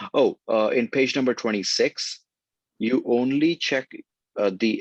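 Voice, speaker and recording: A man's fairly slow delivery at very even loudness, dry and close with no echo. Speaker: video game designer. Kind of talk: workshop explanation. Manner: halting; soft-spoken.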